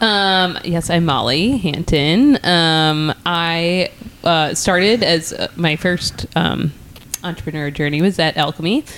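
Against noticeable background noise, a woman with a fairly low pitch talks at a very slow pace, her pitch varying an ordinary amount. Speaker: entrepreneur. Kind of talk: casual chat.

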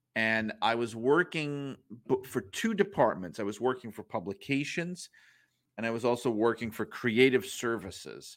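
A normal speaking voice from a man with an American accent, medium pitch, lively intonation and moderate pace, in a very clean recording with a silent background. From New York (Brooklyn). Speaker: author and wrestling journalist. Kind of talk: casual interview.

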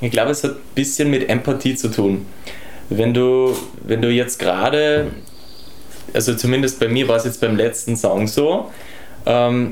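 A man of medium pitch speaks at a moderate pace with fairly even intonation. The room echo is audible, and background noise is noticeable. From Austria, Tyrol. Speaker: singer-songwriter. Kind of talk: casual chat. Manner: halting, repeats words.

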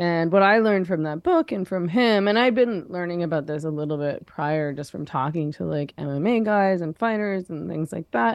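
With a Canadian accent and an ordinary speaking voice, a woman talks at a moderate pace and a fairly low pitch, with hardly any pauses, against a quiet background. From Canada, Vancouver. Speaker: feminist writer. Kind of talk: interview conversation.

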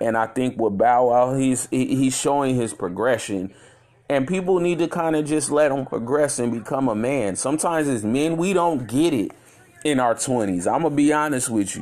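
A man speaks at medium pitch and a moderate pace with ordinary pitch variation. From Chicago, US Midwest. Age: 30s. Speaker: podcast host. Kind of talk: casual monologue. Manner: halting, many fillers.

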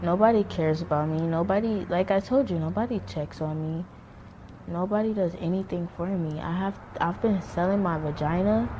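Noticeable background noise runs under this recording. A woman talks at a moderate pace in a fairly low voice. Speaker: foster care survivor interviewee. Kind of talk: interview testimony. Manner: flat, emotionless; halting.

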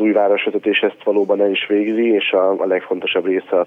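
A man's fairly low voice stays monotone and flat. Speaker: mayor's chief of staff. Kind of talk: radio interview.

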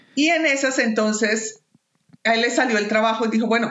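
With ordinary pitch variation, a woman speaks at a moderate pace and a fairly high pitch. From Colombia, Bogotá. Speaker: peace worker and migrant. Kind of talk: casual chat.

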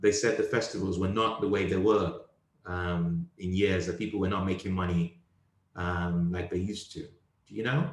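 This man speaks in a British accent with a very deep, low pitch. His pitch variation is ordinary. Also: moderate pace. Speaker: comedian. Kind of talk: casual chat. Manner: animated.

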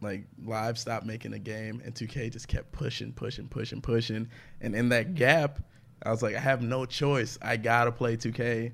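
At a medium pitch, a man with an American accent speaks with vocal fry and fairly even intonation. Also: moderate pace. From Atlanta, US South. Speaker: comedian. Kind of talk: casual chat.

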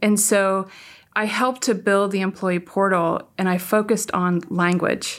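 A woman with a West Coast American accent speaks at medium pitch and a fairly slow pace. Her intonation is monotone and flat, and her loudness stays very even. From US, San Francisco Bay Area. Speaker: tech executive. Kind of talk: interview.

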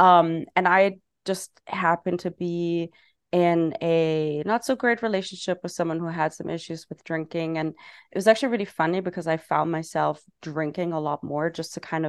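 The woman here has a fairly low pitch and ordinary pitch variation. She goes at a moderate pace over a quiet background. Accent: German. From Germany. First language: German. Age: 30s. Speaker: non-alcoholic bar owner. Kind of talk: casual interview.

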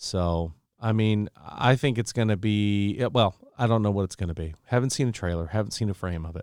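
This man has an ordinary speaking voice, fairly low in pitch with ordinary pitch variation, at a fairly quick pace. The recording is very clean, dry and close, with no echo and a silent background. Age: 30s. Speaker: podcast host. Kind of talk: casual chat.

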